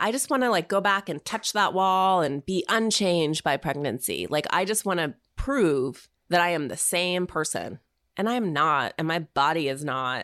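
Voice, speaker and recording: In an ordinary speaking voice, a woman talks at a moderate pace and fairly low pitch, captured on a very clean recording with a silent background. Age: 40s. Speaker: podcaster and writer. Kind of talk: casual interview chat.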